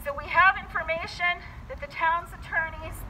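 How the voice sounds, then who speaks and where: A woman's raised, projected voice at a fairly slow pace, with light background noise. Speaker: activist speaker. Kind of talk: rally speech. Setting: outdoors, car protest gathering. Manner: earnest, urgent; animated, persuasive. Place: street.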